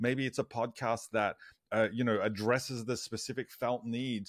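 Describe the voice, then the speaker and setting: A man with an Australian accent speaks at a medium pitch, recorded dry and close with no echo and a very clean, silent background. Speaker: church digital strategist and author. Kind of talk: casual interview chat.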